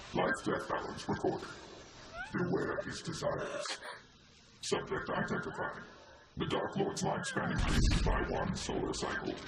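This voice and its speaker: A man's put-on character voice at a moderate pace with long, frequent pauses, with a clear echo and loud background noise. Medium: video game. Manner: flat, cryptic, declarative.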